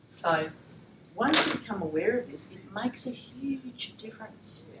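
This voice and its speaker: With an Australian accent, a woman speaks with very wide pitch swings amid noticeable background noise and audible room echo. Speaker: teacher trainer. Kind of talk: lecture. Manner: fast.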